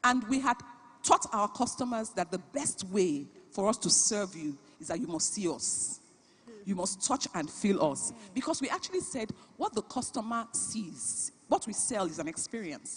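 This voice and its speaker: A woman with a Nigerian accent speaks at a moderate pace, her pitch swinging very widely. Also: medium pitch for a woman. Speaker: business founder and CEO, conference speaker. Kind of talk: keynote talk.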